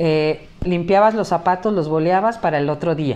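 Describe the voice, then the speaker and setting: A woman speaks at a moderate pace in a dark, mellow tone. Her pitch varies in an ordinary way. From Mexico, Acapulco, Guerrero; Guerrero, Mexico. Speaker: teacher. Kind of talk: casual interview. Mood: earnest, warm. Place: home room.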